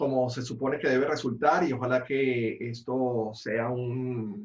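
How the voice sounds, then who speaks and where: A man with a medium pitch talks at a fairly slow pace, sounding somewhat breathy. His intonation stays fairly even. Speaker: podcast co-host. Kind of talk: casual chat.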